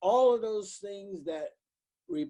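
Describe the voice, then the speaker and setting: The tone is dark and mellow. A man talks fairly slowly. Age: 80s+. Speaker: pastor. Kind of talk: interview. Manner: halting.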